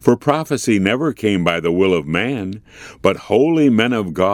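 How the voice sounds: Reading in a natural voice, the speaker keeps the intonation lively.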